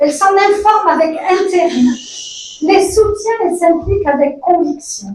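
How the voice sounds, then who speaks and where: With long, frequent pauses, a woman speaks at a fairly slow pace and extremely high pitch, her loudness very even and her pitch variation ordinary, amid audible room echo and noticeable background noise. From immigrant to Canada, from the South. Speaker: community organization worker. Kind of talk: speech at political nomination event. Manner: halting.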